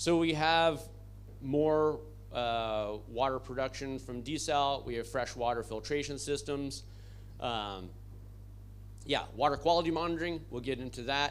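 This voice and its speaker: Long, frequent pauses break up the fairly slow speech, and room echo is audible. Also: man. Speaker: conference presenter for a relief organization. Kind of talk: conference presentation.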